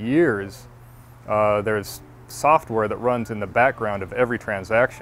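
With light background noise and a dry sound with no echo, a man speaks at a moderate pace with ordinary pitch variation. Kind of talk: interview answer. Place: garden. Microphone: lapel.

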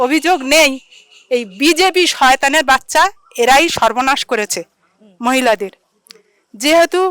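A woman's high-pitched voice with lively intonation and very even loudness, the sound dry and close with no echo. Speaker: local resident. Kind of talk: street interview. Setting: outdoors in the evening. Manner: animated.

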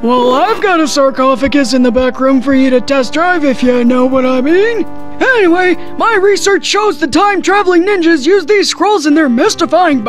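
The speech moves at a moderate pace with hardly any pauses. Clear music plays in the background. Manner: cranky, indignant.

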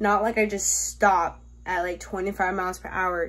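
At a fairly slow pace, a woman delivers her words. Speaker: vlogger. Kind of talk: casual vlog chat. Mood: playful, self-justifying. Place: home room. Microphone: phone near.

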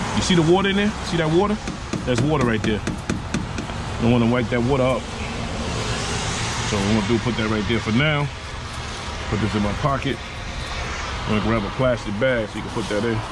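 A man at a fairly quick pace, dry sound with no echo, and loud background noise. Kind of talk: tutorial. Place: street. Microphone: phone near.

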